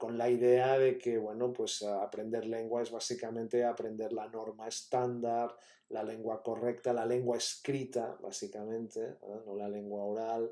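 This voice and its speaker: A man with a Catalan accent speaks at a fairly slow pace and medium pitch. His tone is dark and mellow, his intonation monotone and flat. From Catalonia, Spain. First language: Catalan (speaking Spanish). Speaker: university professor. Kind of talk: lecture. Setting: pre-recorded talk.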